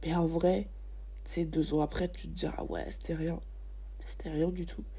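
The speech moves at a fairly slow pace, and audible room echo surrounds it. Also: woman. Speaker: student podcaster. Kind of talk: personal monologue. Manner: halting. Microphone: poor microphone quality.

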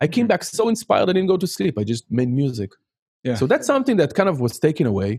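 A man with an Israeli accent, very fast and fairly high-pitched, with very wide pitch swings and a dry, close sound with no echo. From Israel, Haifa. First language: Hebrew. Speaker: music production teacher. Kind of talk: casual chat.

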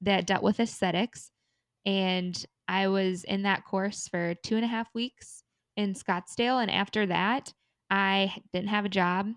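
With an American accent, a woman uses an ordinary speaking voice at a medium pitch with fairly even intonation, sounding dry and close with no echo over a quiet background. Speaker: podcast co-host. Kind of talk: casual chat.

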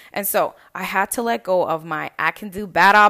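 A woman has a plain, everyday voice at medium pitch, with an American accent and a moderate pace. The recording is very clean with a silent background. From Lynn, Massachusetts. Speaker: weight loss coach, podcast host. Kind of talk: solo podcast monologue. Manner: casual, conversational.

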